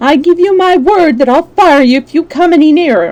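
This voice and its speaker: A woman's shaky, high-pitched put-on character voice at a moderate pace. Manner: shaky, fearful bluster.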